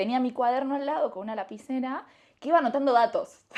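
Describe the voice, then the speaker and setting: A woman's high-pitched voice with an Argentine accent. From Argentina. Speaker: entrepreneur, company founder. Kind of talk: casual interview. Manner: animated.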